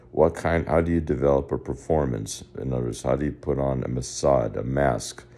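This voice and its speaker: A man with a very deep, low pitch and vocal fry talks at a fairly quick pace with ordinary pitch variation. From US, Spanish-speaking immigrant family. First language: Spanish. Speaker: personal development consultant. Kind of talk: video lesson monologue. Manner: halting, with false starts.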